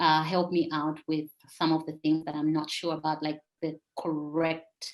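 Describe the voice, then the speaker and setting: A woman with a Malawian accent, a very deep, low pitch and flat, monotone intonation. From Zambia (Lusaka). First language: Tumbuka. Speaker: poet and author. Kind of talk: interview. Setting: live video chat. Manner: hesitant, many fillers.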